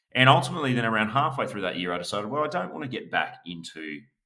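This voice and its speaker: A man with an Australian accent speaks in a bright, sharp tone with lively intonation. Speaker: business valuation expert. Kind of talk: podcast interview.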